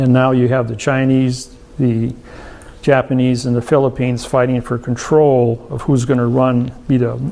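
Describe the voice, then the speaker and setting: Noticeable background noise sits behind a man speaking at a moderate pace. His medium-pitched voice stays monotone and flat. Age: 60s. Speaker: seminar speaker. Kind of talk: seminar Q&A.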